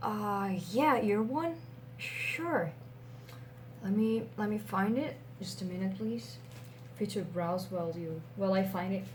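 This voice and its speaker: Soft-spoken and gentle in tone, a woman at medium pitch moves through very wide pitch swings at a fairly slow pace with long, frequent pauses, over noticeable background noise. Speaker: comic book shop clerk (roleplay). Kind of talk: ASMR roleplay, soft-spoken personal attention. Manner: soft-spoken, gentle.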